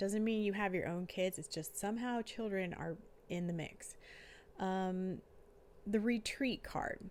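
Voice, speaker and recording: The voice is soft-spoken, with ordinary pitch variation. The recording is very clean, with a silent background. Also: woman. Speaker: tarot reader and life coach. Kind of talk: tarot reading. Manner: casual with many fillers. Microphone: new microphone.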